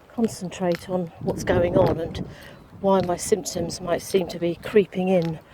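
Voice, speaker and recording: Noticeable background noise sits under a woman's voice. She speaks at a medium pitch and a moderate pace. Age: 60s. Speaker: vlogger living with dystonia. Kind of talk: casual personal vlog. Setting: outdoors on a walk. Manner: hesitant, many fillers.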